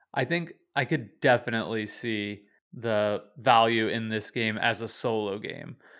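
At a fairly slow pace, a man talks in an unremarkable speaking voice of medium pitch with ordinary pitch variation. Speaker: podcast host. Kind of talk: casual podcast discussion.

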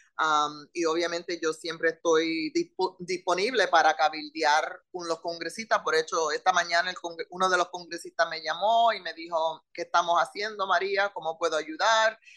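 A woman with an unremarkable speaking voice, fairly low in pitch, fairly even intonation and a moderate pace. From Puerto Rican, raised in Philadelphia. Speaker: politician. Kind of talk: interview.

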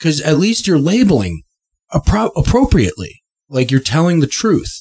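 This man speaks with vocal fry. His pitch is fairly high. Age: 30s. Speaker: podcast co-host. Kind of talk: casual chat.

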